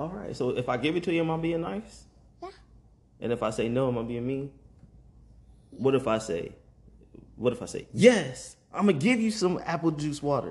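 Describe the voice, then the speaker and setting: This man's voice sits fairly high and sounds somewhat breathy, his pitch swinging very widely. He moves at a fairly quick pace yet takes long, frequent pauses. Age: 30s. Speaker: podcaster and father. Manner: softens voice and whispers when talking to his son.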